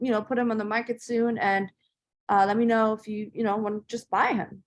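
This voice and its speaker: A woman with a German accent at a very fast pace. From Germany, then Northern Virginia from age 12. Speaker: entrepreneur. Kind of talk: interview storytelling. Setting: podcast interview. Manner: casual with many fillers.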